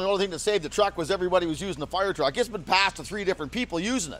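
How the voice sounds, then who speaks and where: A loud man talks at a very fast pace in a high voice, with ordinary pitch variation. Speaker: local resident fighting wildfire. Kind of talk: on-the-street interview.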